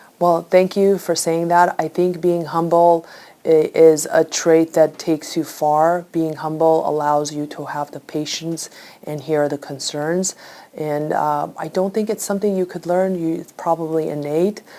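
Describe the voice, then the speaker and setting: Over noticeable background noise, the speech moves at a fairly slow pace with monotone, flat intonation. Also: woman, fairly low pitch for a woman. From immigrant to the US. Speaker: lawyer. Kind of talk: TV interview. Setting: law firm office.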